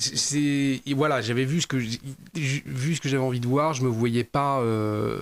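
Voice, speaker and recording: A man speaks at a fairly slow pace and a medium pitch, his loudness very even and his intonation fairly even. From western France, Nantes (Loire-Atlantique). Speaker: former gendarme turned TV journalist. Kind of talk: interview. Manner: hesitant, many repetitions and fillers.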